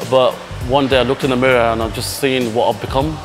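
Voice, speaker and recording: Clear music plays behind a man. He talks at a very fast pace. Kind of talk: interview answer. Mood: earnest, reflective. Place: gym. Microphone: lapel.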